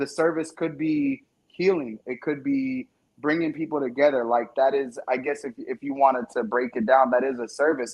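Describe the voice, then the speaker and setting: This is a man with an ordinary speaking voice. He speaks at a moderate pace with ordinary pitch variation. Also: fairly high pitch for a man. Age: 30s. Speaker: independent music artist. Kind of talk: casual chat. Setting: live stream interview.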